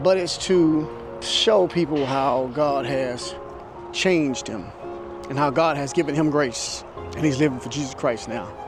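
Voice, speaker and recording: Music plays in the background as a man with a fairly high voice talks at a fairly slow pace with ordinary pitch variation. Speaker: preacher, church speaker. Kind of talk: sermon-style preaching to camera.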